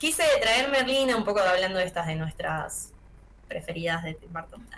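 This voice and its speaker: An unremarkable speaking voice from a woman at a medium pitch, with lively intonation and a fairly slow pace. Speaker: film and series columnist. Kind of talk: radio column, casual chat.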